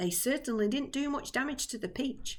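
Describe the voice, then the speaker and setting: A woman's high-pitched, put-on character voice. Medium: read story. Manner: polite, calm.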